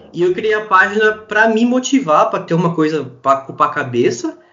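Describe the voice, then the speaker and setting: A man talks at a moderate pace over background music. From Brazil, interior of São Paulo state. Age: 20s. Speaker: sports fan page administrator. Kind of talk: casual chat.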